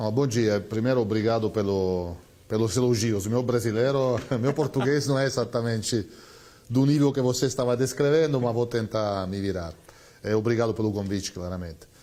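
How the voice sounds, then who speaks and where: With an Italian accent and a dark, mellow tone, a man talks at a moderate pace and medium pitch with ordinary pitch variation. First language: Italian (speaking Portuguese). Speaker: company CEO. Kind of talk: TV interview. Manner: hesitant, many fillers.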